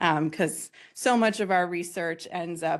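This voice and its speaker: Speaking at a fairly slow pace, a woman with an ordinary speaking voice keeps a fairly low pitch and fairly even intonation. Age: 30s. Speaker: researcher and symposium presenter. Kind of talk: conference presentation.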